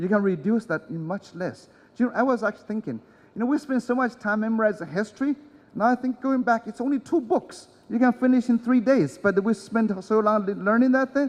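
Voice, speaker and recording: This man talks at a fairly quick pace in a high pitch, with ordinary pitch variation. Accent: non-native. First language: not English. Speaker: conference speaker. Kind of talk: conference talk. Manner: hesitant, many fillers.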